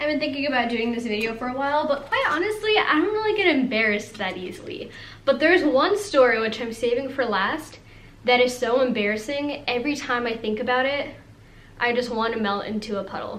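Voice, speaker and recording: Amid noticeable background noise, a woman speaks at a fairly quick pace in a high pitch. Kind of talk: casual storytime talk to camera. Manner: fast, rambling, valley-girl filler words.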